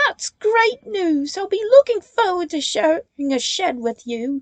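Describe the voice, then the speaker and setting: A woman puts on a squeaky character voice at an extremely high pitch, swinging very widely up and down. She goes at a fairly slow pace, and the sound is dry and close with no echo. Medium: read story. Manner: chirpy.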